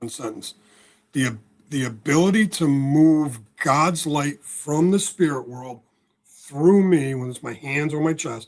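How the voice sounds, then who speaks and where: With an American accent, a man speaks at a fairly slow pace and fairly high pitch, with ordinary pitch variation, big swings in loudness, and a normal speaking voice. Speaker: spiritual healer and author. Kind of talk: podcast interview.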